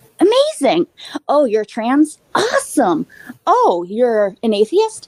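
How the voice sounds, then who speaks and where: A woman talks at a fairly slow pace in a dry, close sound with no echo. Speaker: panel guest. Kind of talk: casual chat. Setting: live show.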